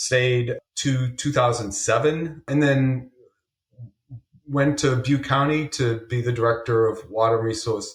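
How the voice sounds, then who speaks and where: Somewhat breathy, a man speaks with fairly even intonation and a slight Massachusetts accent. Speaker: government water official. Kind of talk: interview.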